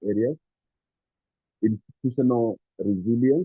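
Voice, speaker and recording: The pitch of this man's speech varies an ordinary amount. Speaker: NGO executive. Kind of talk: formal speech. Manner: hesitant, many fillers; soft-spoken.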